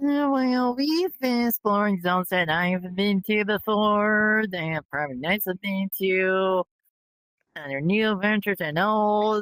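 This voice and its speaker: This female-sounding voice is a put-on character voice. It sits at a medium pitch for a woman and moves at a fairly slow pace. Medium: machinima.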